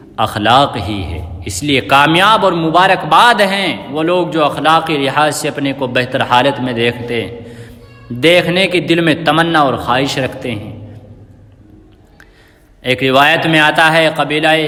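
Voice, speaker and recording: A man's fairly high, lively voice with music in the background. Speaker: Islamic scholar giving a sermon. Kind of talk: Islamic sermon speech.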